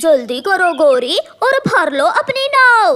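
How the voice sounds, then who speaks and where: A cartoonish character voice at an extremely high pitch, with very wide pitch swings and a fairly slow pace. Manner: harsh, commanding.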